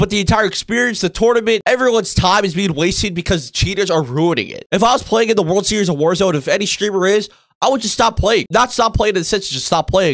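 Loud and animated, a man talks at a very fast pace in a high pitch. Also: ordinary pitch variation, quiet background. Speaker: gaming youtuber. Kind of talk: angry rant. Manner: loud, indignant, swearing, fast and rambling; animated, exasperated. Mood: indignant, ranting. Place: home room.

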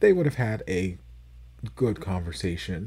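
A man talks at a moderate pace in a very deep, low pitch. Vocal fry runs through his voice. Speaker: reaction video host. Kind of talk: casual commentary. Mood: reflective, lightly amused. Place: home room. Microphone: studio mic.

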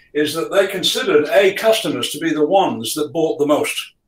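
Audible room echo surrounds a man talking fairly quickly, his pitch fairly high with ordinary variation. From UK. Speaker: sales trainer and author; sales trainer. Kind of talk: business talk. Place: home room.

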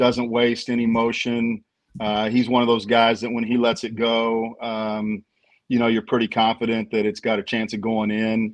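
A man's medium-pitched, monotone, flat delivery at a moderate pace against a quiet background. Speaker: basketball team director; guest. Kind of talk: casual sports talk show. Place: home room. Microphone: video call.

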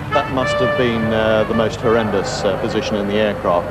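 Over clear music in the background, a man speaks at a moderate pace with a fairly low pitch.

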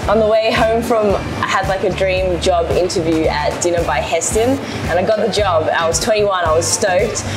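Clear music plays in the background as the voice moves with ordinary pitch variation. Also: woman, moderate pace. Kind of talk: interview answer. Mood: cheerful, animated storytelling. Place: cafe. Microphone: lapel.

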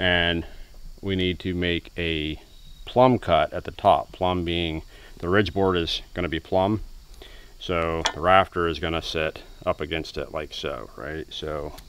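Amid noticeable background noise, a man with a very deep, low pitch speaks at a fairly slow pace with fairly even intonation, the sound dry with no echo. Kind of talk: tutorial. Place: street. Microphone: phone near.

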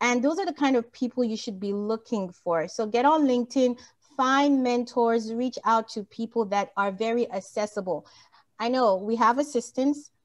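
A woman with a West African accent speaks at a high pitch and a moderate pace, her tone animated. Her pitch variation is ordinary, and the background is quiet. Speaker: motivational speaker on women's empowerment; motivational speaker. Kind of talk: motivational talk. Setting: video call. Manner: animated, laughs often. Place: home room. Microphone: video call.

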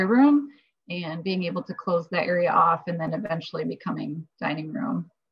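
A woman speaks at a fairly quick pace with a Midwestern American accent. Her fairly low voice is somewhat breathy. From northeast Iowa. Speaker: interior designer; panelist. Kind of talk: career panel talk. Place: home room. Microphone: video call.

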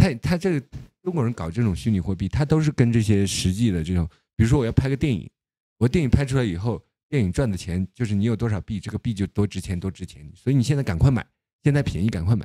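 Lively intonation runs at a very fast pace in a dry sound with no echo and a quiet background. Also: man. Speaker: political commentator. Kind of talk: casual monologue commentary. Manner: halting, many fillers and repetitions. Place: home room. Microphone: studio mic.

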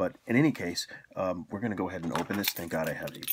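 A man talks quietly at a fairly quick pace. His pitch is very deep and low. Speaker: beer reviewer. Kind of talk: casual video review.

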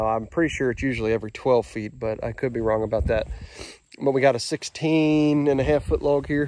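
Moderate pace and ordinary pitch variation, in a dry sound with no echo and light background noise. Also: man. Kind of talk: casual vlog chat. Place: open country. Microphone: phone near.

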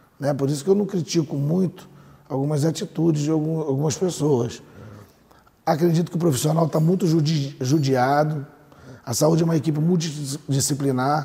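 A man's somewhat breathy voice with a dark, mellow tone, fairly high pitch, fairly even intonation and moderate pace. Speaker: doctor and mayoral pre-candidate. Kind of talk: TV interview. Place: studio. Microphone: lapel.

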